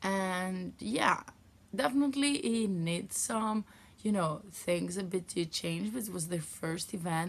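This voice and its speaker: Recorded very cleanly over a silent background, a woman talks very slowly at a medium pitch, somewhat breathy, with lively intonation. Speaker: knitting podcaster and yarn dyer. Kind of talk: casual vlog chat.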